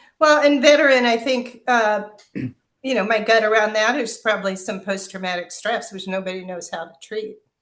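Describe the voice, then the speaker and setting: An unremarkable speaking voice from a woman, fairly high in pitch with ordinary pitch variation, at a moderate pace with hardly any pauses and big swings in loudness. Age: 50s. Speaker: holistic wellness practitioner. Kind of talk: interview podcast conversation.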